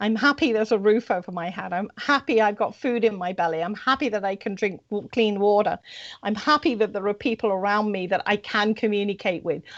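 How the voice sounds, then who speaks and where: Here a woman speaks in a British accent at a fairly quick pace. Her pitch is medium, with ordinary variation. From Britain. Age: 60s. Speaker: spiritual guest on radio show. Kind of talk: interview.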